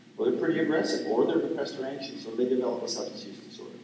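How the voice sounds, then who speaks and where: A man's voice carries audible room echo. Noticeable background noise is present too. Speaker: psychology professor, invited speaker. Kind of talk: lecture Q&A. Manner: fast.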